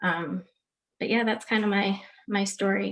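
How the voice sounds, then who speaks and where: The speaker talks at a fairly slow pace. The voice carries an American accent. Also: woman. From Long Island, New York. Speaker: nutritionist, panelist. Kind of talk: panel discussion. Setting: video call.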